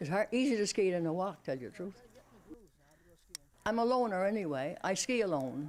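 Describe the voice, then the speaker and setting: A woman speaks in a Newfoundland accent at a moderate pace. Her medium pitch moves in very wide swings. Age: 90s. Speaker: skier, birthday interviewee. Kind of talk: news interview.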